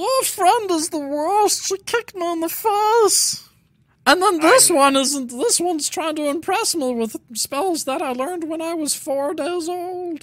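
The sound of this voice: This put-on character voice is pitched extremely high and moves at a fairly slow pace.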